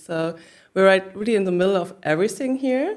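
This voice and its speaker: A woman with a German accent at a fairly quick pace. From northern Germany, Hamburg. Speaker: business founder. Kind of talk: interview.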